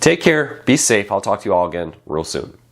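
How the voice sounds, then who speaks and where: Vocal fry marks this man's fairly quick delivery, which has very wide pitch swings. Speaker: tech news show host. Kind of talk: daily news roundup.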